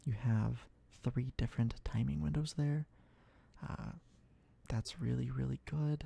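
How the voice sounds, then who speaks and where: A soft-spoken voice at a moderate pace, recorded dry with no echo. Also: man. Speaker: gaming streamer. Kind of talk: ASMR gaming commentary. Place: home room. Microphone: studio mic.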